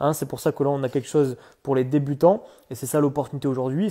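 Over a quiet background, the voice has a dark, mellow tone. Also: man. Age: 20s. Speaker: entrepreneur giving a customer testimonial. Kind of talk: testimony. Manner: casual, with hesitations. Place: home room. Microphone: earbuds.

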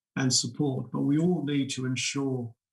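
Somewhat breathy, a man talks at a moderate pace against a quiet background. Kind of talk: prepared keynote speech. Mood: calm, measured, serious. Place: home room. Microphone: webcam.

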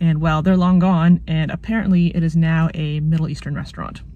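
A woman speaks in a fairly low pitch with a dark, mellow tone that is somewhat breathy. Her intonation is monotone and flat, and the sound is dry with no echo. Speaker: video essayist vlogger. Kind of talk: casual vlog chat. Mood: nostalgic, wry. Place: car. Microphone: phone near.

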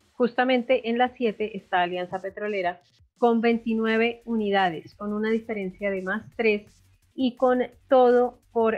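Fairly slow, fairly even speech from a woman with a fairly high pitch, music in the background. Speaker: sports podcast host. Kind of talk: sports panel discussion.

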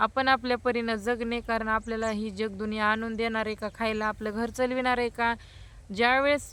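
The speaker is a woman with a fairly high pitch. Her tone is bright and sharp. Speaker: vlogger. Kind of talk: personal vlog monologue. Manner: blunt; animated.

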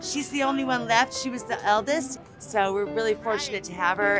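Over clear music in the background, a woman with a fairly high pitch talks at a fairly quick pace with very wide pitch swings, in a dry sound with no echo. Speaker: granddaughter of the birthday guest. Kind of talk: interview answer. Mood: warm, happy. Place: hall.

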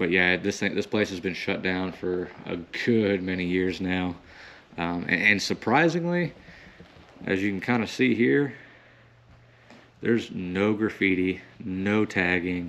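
A man's very deep, low voice at a fairly slow pace, with long, frequent pauses. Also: ordinary pitch variation. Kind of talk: casual vlog commentary. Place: church. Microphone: phone near.

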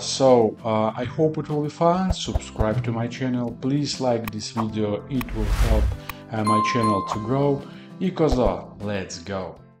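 A man speaking at a fairly slow pace, with clear music in the background. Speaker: home cooking vlogger. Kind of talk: casual cooking tutorial. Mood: playful, joking. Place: kitchen. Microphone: camera far.

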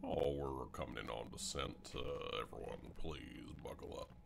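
A man speaks at a moderate pace in a put-on character voice, with clear background noise behind him. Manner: calm announcement.

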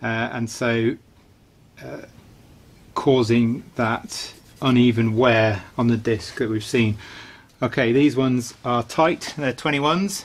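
Speaking at a very slow pace with long, frequent pauses, a man with a British accent uses ordinary pitch variation. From UK. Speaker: DIY car mechanic. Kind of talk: tutorial. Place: garage.

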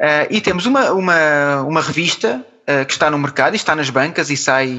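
The man's pitch is fairly high. He keeps a moderate pace. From Portugal. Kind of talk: interview answer.

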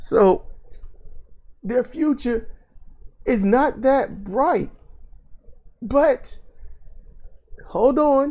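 The speech comes at a very slow pace with long, frequent pauses. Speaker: wrestling commentator. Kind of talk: commentary monologue. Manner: slower than usual.

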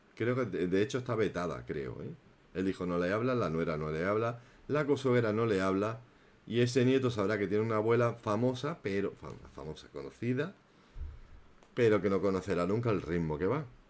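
This man talks at a fairly quick clip in a fairly low voice, his intonation lively and his tone animated. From inland Spain. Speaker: YouTube gossip commentator. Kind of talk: live stream chat and commentary. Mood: indignant in places.

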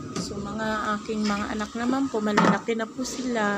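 Audible room echo and noticeable background noise surround the recording. A woman speaks at a moderate pace and medium pitch. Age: 50s. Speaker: small store owner and grandmother vlogger. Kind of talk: casual vlog talk. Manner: polite, uses po often.

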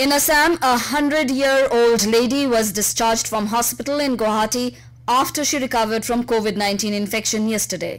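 Hardly pausing, a woman talks at a fairly quick pace in an ordinary speaking voice, fairly high in pitch with ordinary pitch variation. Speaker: radio news reader. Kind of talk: radio news bulletin. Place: studio.

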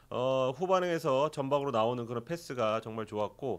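This man has a plain, everyday voice at a medium pitch, talking at a moderate pace with lively intonation. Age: 40s. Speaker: sports journalist. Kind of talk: sports review discussion. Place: studio. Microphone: studio mic.

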